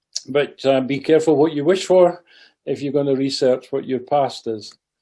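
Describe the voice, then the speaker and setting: The speaker has a dark, mellow tone and talks at a moderate pace with a Scottish accent. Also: man. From Scotland. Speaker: president of a heritage society, talk speaker. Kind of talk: club talk. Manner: hesitant, with fillers.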